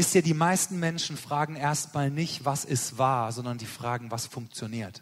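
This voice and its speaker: A man with a fairly high pitch talks at a very slow pace with hardly any pauses and ordinary pitch variation. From Germany. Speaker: missionary preacher. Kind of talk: sermon.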